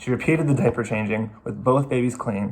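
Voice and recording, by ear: A passage is being read aloud in a natural voice. Its pitch shows ordinary variation.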